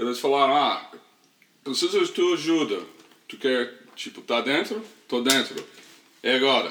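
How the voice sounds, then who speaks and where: Long, frequent pauses mark this man's speech. He has a slight American accent. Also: moderate pace. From US South, small-town Tennessee. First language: English (speaking Portuguese). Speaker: podcast co-host. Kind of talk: casual chat. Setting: at home. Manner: halting.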